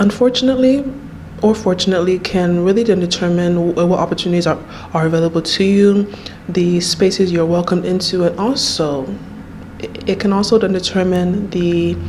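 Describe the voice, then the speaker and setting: Noticeable background noise sits behind a woman's voice. She speaks at a fairly low pitch and a moderate pace. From Nigeria. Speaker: YouTuber. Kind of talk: personal vlog monologue. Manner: halting, repeats words.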